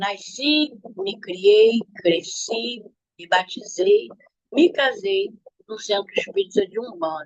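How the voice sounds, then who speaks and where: A woman talks at a very slow pace. Her loudness swings widely. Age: 70s. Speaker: church member giving testimony. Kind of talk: testimony.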